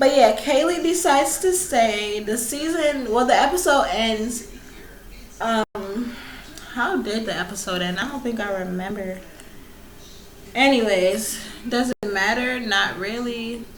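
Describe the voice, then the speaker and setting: A woman at a fairly high pitch with lively intonation, a fairly slow pace and long, frequent pauses, amid noticeable background noise and audible room echo. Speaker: YouTuber reviewing reality TV. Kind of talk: casual vlog review. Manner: animated.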